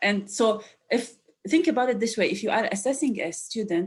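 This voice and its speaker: A woman with an Arabic accent sounds somewhat breathy, speaking at a moderate pace with ordinary pitch variation. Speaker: educational developer. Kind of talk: webinar discussion.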